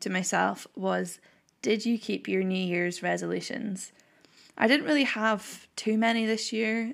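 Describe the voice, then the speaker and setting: A very clean recording with a silent background carries speech at a fairly slow pace. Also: woman. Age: 20s. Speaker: podcast host and university student. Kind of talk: casual solo chat.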